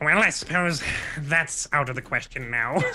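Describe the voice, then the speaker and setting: A raspy, put-on character voice at a low-to-middle pitch and moderate pace. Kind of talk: formal, polite. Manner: resigned.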